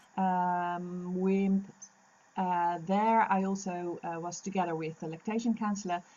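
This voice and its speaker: Her speech is a flat monotone at a fairly slow pace. The woman's pitch is medium. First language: Dutch. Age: 50s. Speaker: lactation consultant. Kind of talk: interview. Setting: podcast recording. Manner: halting.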